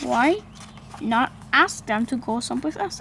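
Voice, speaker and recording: Using a put-on character voice, a woman speaks high in pitch over clear background noise. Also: moderate pace. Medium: read story. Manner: calm, upbeat.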